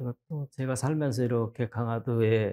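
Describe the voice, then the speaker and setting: A man speaks at a medium pitch with a dark, mellow tone and monotone, flat intonation. The sound is dry and close with no echo, and his pace is moderate. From rural South Korea. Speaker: poet. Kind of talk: interview. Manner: halting, many fillers.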